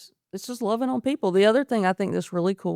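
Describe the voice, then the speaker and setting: A woman with ordinary pitch variation, recorded very cleanly against a silent background, the sound dry and close without echo. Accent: American. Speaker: paramedic. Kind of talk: interview conversation. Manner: animated.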